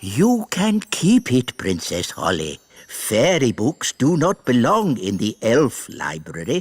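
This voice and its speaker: This cartoonish character voice sits at a low-to-middle pitch with very wide pitch swings. It moves at a fairly slow pace with hardly any pauses. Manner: stern, hushing.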